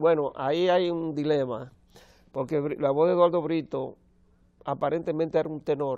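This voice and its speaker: A man's dark, mellow tone with fairly even intonation over a quiet background. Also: moderate pace. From Dominican Republic. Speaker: opera tenor; TV guest. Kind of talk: TV interview. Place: studio. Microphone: lapel.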